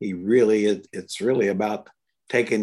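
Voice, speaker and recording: In an unremarkable speaking voice, a man talks at a moderate pace, fairly low in pitch and fairly even in intonation. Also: very clean recording, silent background. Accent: American. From Indiana, US Midwest. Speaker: former NBA coach and broadcaster. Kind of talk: casual podcast chat, sports analysis. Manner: joking, self-deprecating.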